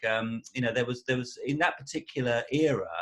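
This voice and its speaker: This man speaks at a medium pitch. His intonation is fairly even. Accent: Essex. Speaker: musician. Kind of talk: casual interview chat. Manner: halting, many repetitions.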